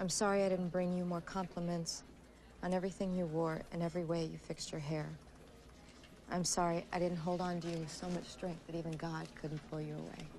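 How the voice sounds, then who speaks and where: This woman talks at a fairly quick pace in a fairly low, dark and mellow voice with flat, monotone intonation over light background noise. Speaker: actress as newspaper researcher. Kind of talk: reading a letter aloud in a film scene. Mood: moved, tender, subdued. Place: office.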